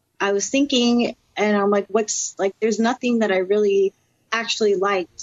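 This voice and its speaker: A woman with a plain, everyday voice speaks in a medium pitch and fairly even intonation. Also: very even loudness. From Florida (Orlando). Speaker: professional wrestler. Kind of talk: interview.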